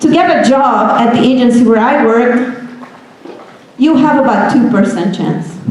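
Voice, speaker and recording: With a Hungarian accent, a woman speaks at a high pitch and a moderate pace, her intonation lively. The room echo is audible, and there is noticeable background noise. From Hungary, small town. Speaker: software engineer. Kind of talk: motivational talk to students. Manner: animated.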